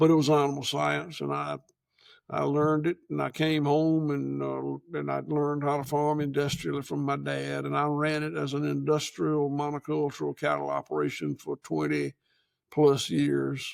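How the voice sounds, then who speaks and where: A man with a rural Georgia accent speaks at a moderate pace. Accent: Southern US (rural Georgia). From US South. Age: 70s. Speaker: farmer. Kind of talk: casual chat. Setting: on location at his farm. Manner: halting.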